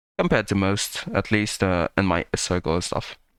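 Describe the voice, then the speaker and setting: A man with a non-native accent speaks at a fairly slow pace in a dry, close sound with no echo. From third world country. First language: not English. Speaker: reaction youtuber. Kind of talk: casual commentary. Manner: halting.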